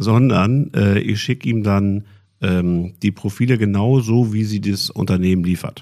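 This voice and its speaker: At a fairly slow pace, a man speaks in a dark, mellow tone, fairly low in pitch with ordinary pitch variation, on a very clean recording with a silent background. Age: 50s. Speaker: IT company executive. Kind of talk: podcast interview.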